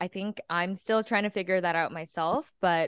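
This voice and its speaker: Against a quiet background, a woman speaks at a moderate pace in an ordinary speaking voice. Her pitch is medium, with ordinary variation. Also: dry, close sound with no echo. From Texas. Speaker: podcast co-host. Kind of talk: casual interview chat. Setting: video call.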